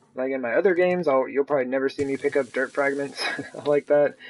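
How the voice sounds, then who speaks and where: Noticeable noise runs through the background. A man talks with ordinary pitch variation. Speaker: gaming streamer. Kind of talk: live gameplay commentary.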